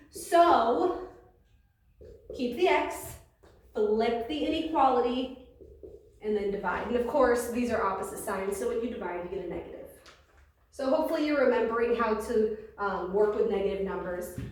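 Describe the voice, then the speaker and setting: A woman's fairly high voice with long, frequent pauses and audible room echo. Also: lively intonation, moderate pace. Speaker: math teacher. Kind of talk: lecture. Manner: loud. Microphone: no microphone today, may be hard to hear.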